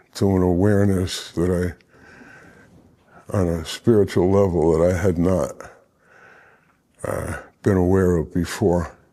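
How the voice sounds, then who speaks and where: Over a very clean, silent background, a man with a very deep, low pitch and a dark, mellow tone speaks fairly slowly in a flat monotone. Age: 70s. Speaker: former inmate, recovering addict. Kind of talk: interview testimony. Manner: halting, many fillers.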